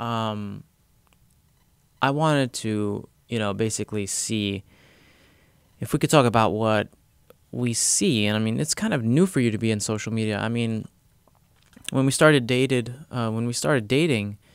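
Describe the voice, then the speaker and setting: A man talks at a moderate pace and a medium pitch, with ordinary pitch variation. He leaves long, frequent pauses. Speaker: youtuber and podcast host. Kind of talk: casual podcast chat. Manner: loud.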